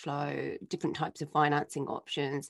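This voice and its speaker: In a dry, close sound with no echo and a quiet background, a woman with a British accent speaks at a moderate pace. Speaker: podcast producer. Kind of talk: news roundup. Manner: enthusiastic.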